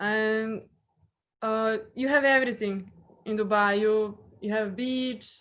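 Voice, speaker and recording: At a very slow pace, a woman with a Serbian accent speaks in a fairly high pitch with monotone, flat intonation against a quiet background. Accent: Serbian accent when speaking English. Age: 30s. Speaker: hotel guest relations professional. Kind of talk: interview.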